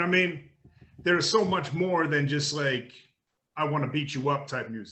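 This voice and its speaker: Through audible room echo, a man with an American accent speaks at a fairly high pitch with ordinary pitch variation. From Australia. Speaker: rapper. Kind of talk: interview. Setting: remote call.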